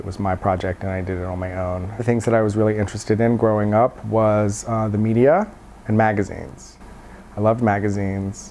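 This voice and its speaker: A man with an American accent, fairly low in pitch and fairly even in intonation, at a fairly quick pace over noticeable background noise. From Virginia, USA. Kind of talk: oral history interview answer.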